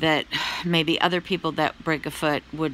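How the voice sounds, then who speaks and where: Over light background noise, a woman speaks with a very deep, low pitch. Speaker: vlogger giving health update. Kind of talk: casual vlog chat. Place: home room. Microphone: phone near.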